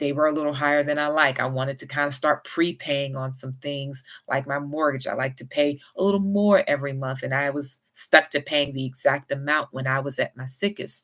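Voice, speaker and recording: Speaking with a Southern US accent, a woman with a very deep, low pitch talks almost without pauses and with fairly even intonation over a very clean recording with a silent background. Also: fairly quick pace. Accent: Southern US, moderate. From US South. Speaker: YouTuber with chronic illness. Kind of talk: casual vlog advice. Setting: home livestream. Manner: not fast.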